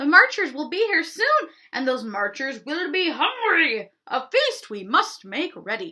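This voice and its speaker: Using a put-on character voice, a woman talks at an extremely high pitch with very wide pitch swings, keeping a fairly slow pace and hardly any pauses. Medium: read story.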